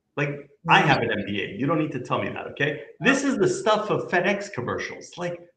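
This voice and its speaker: A man speaks at a high pitch with a bright, sharp tone, very wide pitch swings and an animated delivery. His pace is fairly quick with hardly any pauses, and room echo is audible. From Canada. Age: 50s. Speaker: company CEO. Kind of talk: business interview conversation.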